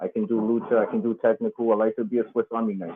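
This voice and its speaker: Very fast, a man speaks with an American accent and ordinary pitch variation. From New York, the Bronx. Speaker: professional wrestler. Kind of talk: casual interview.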